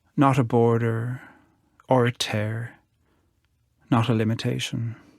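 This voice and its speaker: A man with an Irish accent and medium pitch, flat and monotone at a fairly slow pace, on a very clean recording with a silent background. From Ireland. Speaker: poet. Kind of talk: talk about art; poetry reading.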